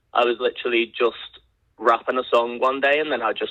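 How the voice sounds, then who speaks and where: Speaking with a British accent, this man moves along at a fairly quick clip. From Liverpool, England. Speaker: rapper. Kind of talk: podcast interview.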